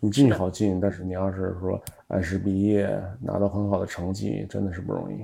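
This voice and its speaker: A man speaks at a very deep, low pitch with fairly even intonation. He has a slight Tianjin accent. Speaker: entrepreneur. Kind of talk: casual chat. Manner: many filler sounds.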